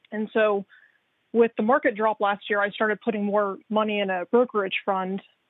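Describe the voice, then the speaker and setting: This woman has an ordinary speaking voice at medium pitch. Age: 30s. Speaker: caller. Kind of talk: phone-in call.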